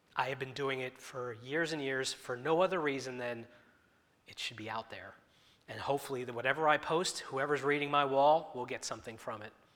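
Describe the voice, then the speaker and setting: A man's medium-pitched voice at a fairly quick pace, with fairly even intonation and big swings in loudness. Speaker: lay preacher. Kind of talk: sermon. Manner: wandering, informal delivery.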